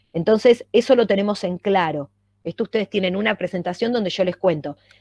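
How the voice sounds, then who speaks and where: An ordinary speaking voice from a woman, medium in pitch, with ordinary pitch variation, a fairly quick pace and a dry, close sound with no echo. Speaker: university lecturer. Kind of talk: lecture.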